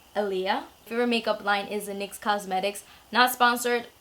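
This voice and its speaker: A woman is heard over noticeable background noise. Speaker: YouTuber, beauty vlogger. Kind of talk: casual Q&A vlog.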